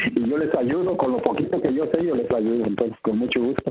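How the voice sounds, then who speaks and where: Noticeable background noise sits behind a man's voice. He talks at a moderate pace with lively intonation. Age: 50s. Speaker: sales distributor. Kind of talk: interview. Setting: phone call.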